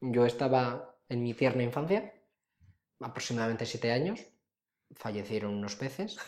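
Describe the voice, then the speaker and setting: Long, frequent pauses at a moderate pace. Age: 20s. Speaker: podcast co-host. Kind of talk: casual chat.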